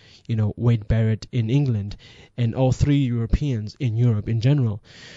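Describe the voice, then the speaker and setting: Ordinary pitch variation marks speech delivered at a moderate speed. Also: man. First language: not English. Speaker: wrestling podcast host. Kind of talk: casual monologue commentary. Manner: halting, self-correcting.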